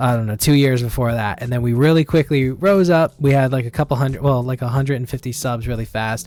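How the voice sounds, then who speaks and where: At a very fast pace with hardly any pauses, a man speaks with ordinary pitch variation. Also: medium pitch for a man. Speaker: podcast host. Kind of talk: casual chat.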